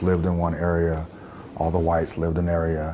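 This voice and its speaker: Noticeable background noise surrounds a man with a very deep, low pitch. He speaks at a fairly quick pace with an American accent. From US South. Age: 40s. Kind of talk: testimony. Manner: hesitant, many fillers.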